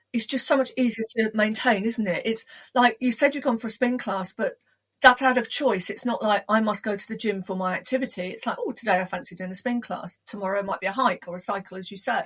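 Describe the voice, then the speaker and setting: A woman speaks in an unremarkable speaking voice at a fairly high pitch. She talks at a fairly quick pace, with ordinary pitch variation. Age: 60s. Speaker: podcast host. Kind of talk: casual interview.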